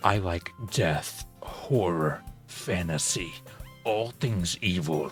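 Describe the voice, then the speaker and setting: A man uses a put-on character voice that is very deep and low, speaking at a very slow pace. Clear music plays in the background. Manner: dark, sinister.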